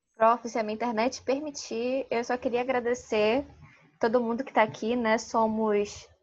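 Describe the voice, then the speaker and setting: This woman has a Manaus accent and a fairly high pitch, with fairly even intonation. She talks at a fairly slow pace, and her loudness swings widely. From Manaus, Amazonas, Brazil. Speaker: workshop co-leader. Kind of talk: online workshop. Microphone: unstable internet connection.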